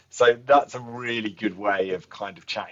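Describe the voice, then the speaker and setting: A man with an English accent speaks at a fairly low pitch and a fairly slow pace. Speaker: tourism board representative. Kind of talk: interview.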